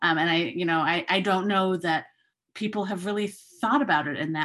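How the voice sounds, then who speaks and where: An unremarkable speaking voice with an American accent goes at a fairly quick pace with ordinary pitch variation, on a very clean recording with a silent background. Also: woman. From Chicago and London. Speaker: election observation expert and lawyer. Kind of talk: podcast interview answers.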